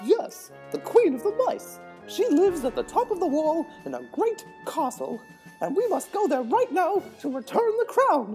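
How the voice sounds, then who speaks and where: Over clear background music, a put-on character voice speaks at a moderate pace in a high pitch. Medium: audio drama. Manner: excitable, emotional.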